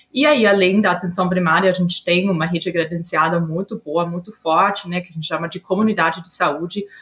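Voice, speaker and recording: A woman with an Austrian accent, fairly low-pitched, at a fairly quick pace with hardly any pauses and fairly even intonation. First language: German (speaking Portuguese). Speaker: HR executive. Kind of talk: podcast interview. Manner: hesitant, many filler sounds.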